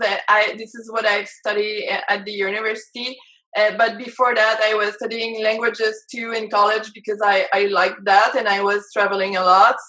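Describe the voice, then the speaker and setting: A woman with a French-Canadian accent speaks at a moderate pace and a fairly high pitch. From Quebec, Canada. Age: 30s. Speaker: life and business coach. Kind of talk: interview. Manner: halting, many fillers.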